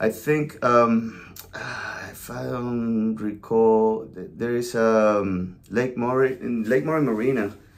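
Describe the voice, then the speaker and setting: In a Venezuelan accent, a man speaks very slowly at a medium pitch, with fairly even intonation and big swings in loudness. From Venezuela, La Guaira. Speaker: podcast co-host, realtor. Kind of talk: casual chat.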